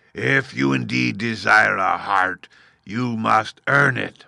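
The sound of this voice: Putting on a gruff character voice, a man speaks at a fairly low pitch and a fairly slow pace with very wide pitch swings.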